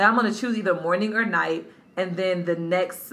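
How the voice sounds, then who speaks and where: With an American accent and a medium pitch, a woman speaks with ordinary pitch variation amid noticeable background noise and audible room echo. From North Carolina. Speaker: podcast co-host. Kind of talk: casual chat.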